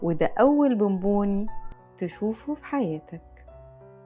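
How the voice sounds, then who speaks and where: A woman speaks very slowly in a calm tone at a medium pitch. Music plays in the background. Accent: Egyptian. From Egypt. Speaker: voice performer. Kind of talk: guided mindfulness exercise. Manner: slow, calm.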